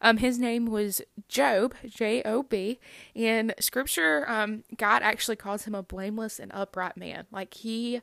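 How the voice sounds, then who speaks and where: A woman with an American accent speaks at a fairly slow pace. She has an unremarkable speaking voice. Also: very clean recording, silent background. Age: 20s. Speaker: youth minister and cancer survivor. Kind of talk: personal testimony. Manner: frequent laughs and fillers.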